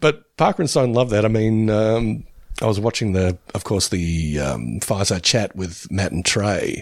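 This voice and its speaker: A man's ordinary speaking voice, lively intonation at a moderate pace, on a very clean recording with a silent background. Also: fairly low pitch for a man. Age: 50s. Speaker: podcast co-host. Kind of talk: casual chat. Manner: laughs often.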